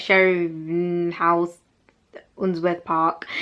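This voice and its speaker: A woman is speaking. Her pitch sits fairly low. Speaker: university student vlogger. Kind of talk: casual informational vlog. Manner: fast.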